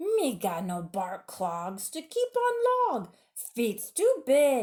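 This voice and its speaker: A female-sounding voice puts on a character at a high pitch. The pace is very slow. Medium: read story. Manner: broken caveman grammar.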